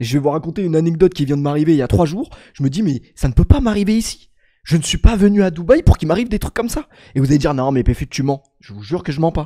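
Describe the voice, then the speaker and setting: Fast and fairly high-pitched, a man talks at a very quick pace in a dark, mellow tone, his intonation lively and his loudness swinging widely in a dry, close sound with no echo. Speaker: streamer. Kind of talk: casual livestream chat.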